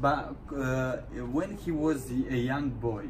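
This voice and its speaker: This is a man speaking. There is noticeable background noise and audible room echo. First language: Russian. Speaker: interviewer. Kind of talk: interview. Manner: halting.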